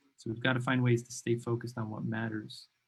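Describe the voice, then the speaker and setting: Somewhat breathy and flat in intonation, a man with an American accent talks at a fairly quick pace in a medium pitch. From New York. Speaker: podcast host. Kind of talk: interview conversation. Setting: livestream.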